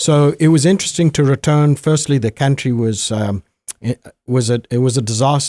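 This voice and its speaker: A man with a Zimbabwean accent speaks at a moderate pace in a dark, mellow tone, his fairly high pitch moving with ordinary variation in a dry, close sound with no echo. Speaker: guest. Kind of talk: interview conversation. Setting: studio.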